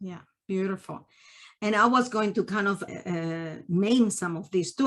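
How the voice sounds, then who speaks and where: Medium-pitched woman's voice in a Peruvian accent, with ordinary pitch variation. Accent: Peruvian Spanish accent, kept. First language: Spanish. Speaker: family therapist and journal interviewer. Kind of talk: interview conversation.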